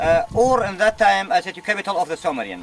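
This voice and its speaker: Over noticeable background noise, the speaker moves at a fairly quick pace with lively intonation. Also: man. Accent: Arabic. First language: Arabic. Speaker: museum curator and tour guide. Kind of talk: guided tour. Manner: halting, non-native phrasing.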